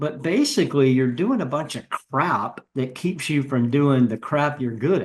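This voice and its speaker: Hardly pausing, a man speaks at a fairly slow pace and fairly high pitch in an ordinary speaking voice, with ordinary pitch variation. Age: 60s. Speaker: business executive and podcast guest. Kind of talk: casual interview conversation.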